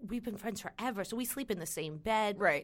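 A woman with a New York accent at a fairly quick pace and ordinary pitch variation, in a very clean recording with a silent background. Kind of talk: casual chat.

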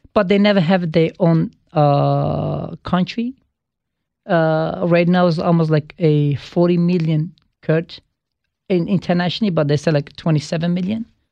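A man speaks at a high pitch with a dark, mellow tone, fairly even intonation and a moderate pace. The sound is dry and close with no echo, and his loudness stays very even. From Turkey, Kurdish region (Silvan). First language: Kurdish. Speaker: pizza restaurant owner. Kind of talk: interview, personal story. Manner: halting, many fillers.

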